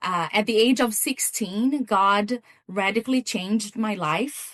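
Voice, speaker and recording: Speaking with a Brazilian accent, a woman goes at a fairly slow pace in a fairly high voice with ordinary pitch variation. The sound is dry and close, with no echo. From Brazil, São Paulo State. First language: Portuguese. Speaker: missions coordinator and pastor. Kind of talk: testimony. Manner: halting, many repeated words.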